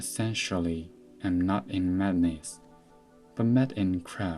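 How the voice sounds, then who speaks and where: Music plays in the background as a man with a very deep, low voice speaks very slowly with ordinary pitch variation. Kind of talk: ASMR book reading.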